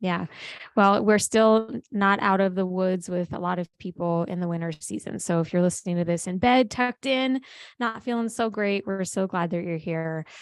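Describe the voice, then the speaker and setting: Against a quiet background, a woman with an unremarkable speaking voice talks at a moderate pace and a medium pitch, with ordinary pitch variation. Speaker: podcast host. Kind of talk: casual podcast interview. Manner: upbeat.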